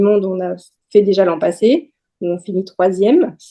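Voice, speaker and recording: The speaker is a woman with a medium pitch. Her voice carries a dark, mellow tone. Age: 30s. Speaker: radiology technician and amateur athlete. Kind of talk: podcast interview.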